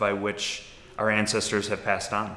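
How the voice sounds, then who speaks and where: A man with an American accent, amid noticeable background noise and audible room echo. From Milwaukee, Wisconsin, US Midwest. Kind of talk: interview testimony. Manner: thoughtful, with frequent fillers.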